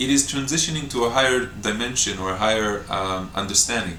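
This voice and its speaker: In an Israeli accent, a man talks fairly quickly with ordinary pitch variation, amid noticeable background noise and audible room echo. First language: Hebrew. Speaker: breatharian retreat teacher. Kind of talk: Q&A talk to camera. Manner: spontaneous, with hesitations.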